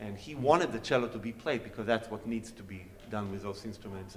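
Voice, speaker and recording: A man's medium-pitched voice in an Israeli accent, fairly even in intonation and fairly quick, with audible room echo. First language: Hebrew. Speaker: cellist. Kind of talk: onstage Q&A talk.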